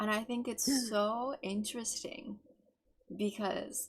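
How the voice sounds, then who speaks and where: Her voice is fairly high and somewhat breathy. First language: not English. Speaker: vtuber podcast co-host. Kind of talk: casual chat. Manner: careful enunciation.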